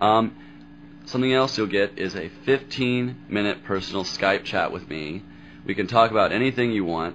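A man with an American accent speaks at a moderate pace, with light background noise behind him. His fairly low pitch shows ordinary variation. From US South. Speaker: podcast host. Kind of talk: casual monologue. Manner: casual, filler-heavy.

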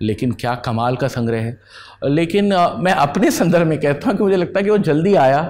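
A man speaks at a moderate pace. His pitch swings very widely. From Ayodhya, Uttar Pradesh; Uttar Pradesh. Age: 40s. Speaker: poet and editor; poet. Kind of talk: interview. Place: home room. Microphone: lapel.

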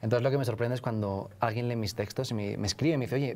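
A man with a Spanish accent talks at a very fast pace. His tone is dark and mellow, with ordinary pitch variation. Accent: Peninsular Spanish. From northern Spain. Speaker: author; interviewee. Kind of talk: interview. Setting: live event at a university. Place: studio. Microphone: lapel.

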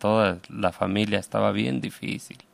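Speaking at a fairly slow pace, a man uses a fairly low pitch. The recording is very clean, with a silent background. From Mexico, Aguascalientes (Calvillo). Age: 50s. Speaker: immigrant construction worker and activist. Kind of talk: radio interview. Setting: radio studio. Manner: halting.

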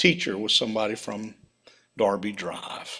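Here a man speaks with an American accent. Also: quiet background. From United States. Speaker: preacher. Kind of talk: sermon with mission report. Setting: church with slides. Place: church.

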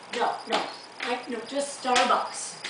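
A woman talks with an American accent. There is noticeable background noise and audible room echo. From Chicago, US Midwest. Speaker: stand-up comedian, opening act. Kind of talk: stand-up comedy set, storytelling with acted-out customer dialogue and crowd banter. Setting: stage with live audience in a theater. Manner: animated, bubbly, conversational with sweetly exaggerated character voices; quick, casual delivery with self-aware awkward asides and pauses for laughter. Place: stage. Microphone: camera far.

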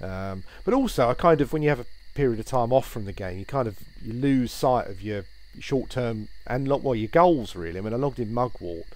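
A man with a British accent talks at a fairly quick pace in a medium pitch, his intonation lively and his loudness swinging widely. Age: 40s. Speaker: gaming YouTuber. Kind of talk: gameplay commentary. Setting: home recording while playing. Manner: hesitant, with frequent fillers and repetitions.

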